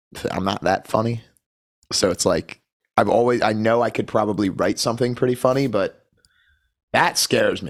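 A man with an unremarkable speaking voice, fairly quick pace and ordinary pitch variation. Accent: American. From Philadelphia, Pennsylvania. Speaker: punk musician. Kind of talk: casual chat. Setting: video call.

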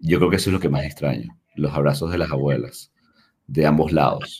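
A man's very deep, low voice. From Venezuela, Caracas. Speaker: tech company CEO. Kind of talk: interview conversation.

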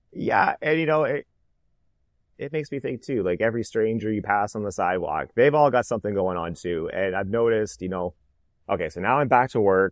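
Lively intonation marks this normal speaking voice with a Canadian accent. The sound is dry and close with no echo, over a quiet background. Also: man, fairly low pitch for a man, fairly quick pace. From Canada (Oshawa, Ontario). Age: 30s. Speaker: cancer survivor, pharmaceutical scientist. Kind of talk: interview, personal testimony.

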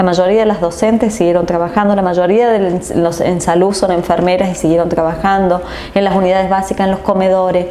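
Talking at a fairly quick pace, a woman keeps a medium pitch, very even loudness and a monotone, flat intonation, with noticeable background noise and audible room echo. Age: 40s. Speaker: politician. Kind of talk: interview.

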